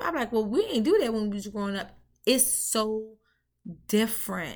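A woman speaks with an American accent at a moderate pace. Her high-pitched voice has an animated tone. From Washington DC (Southeast, Ward 8). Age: 30s. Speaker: podcast host. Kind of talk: casual monologue.

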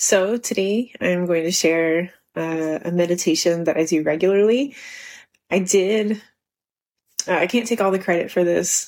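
A woman with fairly low pitch, a normal speaking voice and ordinary pitch variation. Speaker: podcast host and running coach. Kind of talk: guided meditation. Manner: slow, soft, calm and soothing, with long pauses.

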